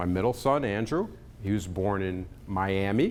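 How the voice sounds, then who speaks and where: Speaking at a fairly slow pace, a man with a fairly low voice and a slight New York accent uses lively intonation. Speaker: conference speaker. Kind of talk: keynote talk. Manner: animated.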